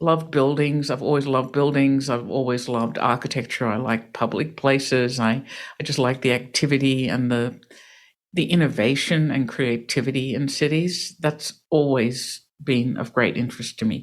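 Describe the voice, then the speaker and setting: A woman's very deep, low voice in an Australian accent, fairly even in intonation, at a moderate pace, on a very clean recording with a silent background. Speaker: real estate developer and crowdfunding founder. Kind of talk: interview.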